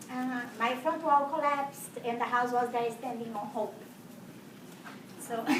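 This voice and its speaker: A woman at a high pitch and fairly slow pace, with fairly even intonation, long, frequent pauses, noticeable background noise and audible room echo. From Brazil. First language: Portuguese. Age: 40s. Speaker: house cleaner sharing transformation story. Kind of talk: testimony.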